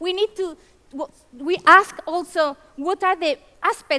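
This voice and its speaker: A woman's raised, projected voice in a Spanish accent, dry and close with no echo. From Spain. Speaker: conference keynote speaker. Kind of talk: conference presentation. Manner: fast.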